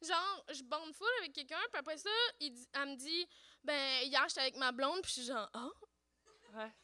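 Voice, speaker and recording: A woman talks at a moderate pace in a high, bright, sharp voice that is raised and projected. Her pitch variation is ordinary, her loudness swings widely, and she takes long, frequent pauses. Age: 30s. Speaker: podcaster. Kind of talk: casual chat. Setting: stage with audience.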